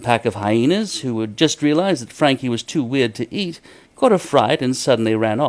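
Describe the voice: The voice is plain reading aloud, with lively intonation throughout.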